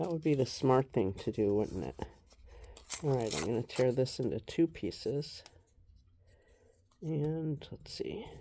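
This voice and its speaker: At a very deep, low pitch, a woman speaks fairly slowly with very wide pitch swings, vocal fry, a dark, mellow tone and long, frequent pauses. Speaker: collage artist. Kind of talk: tutorial. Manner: casual.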